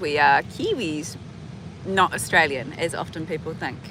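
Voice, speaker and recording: A woman speaks in a New Zealand accent with noticeable background noise. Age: 30s. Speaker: vlogger. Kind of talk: casual chat. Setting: outdoors.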